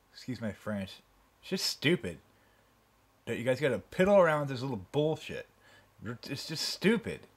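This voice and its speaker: With a somewhat breathy, fairly high voice, a man swings very widely in pitch and leaves long, frequent pauses. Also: big swings in loudness. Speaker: home video uploader. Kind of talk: angry rant at the camera about site changes. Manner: irate, sarcastic, exasperated, repeating points and jabbing with rhetorical questions; fast, emphatic, rambling and self-interrupting. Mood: annoyed, ranting. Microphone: phone near.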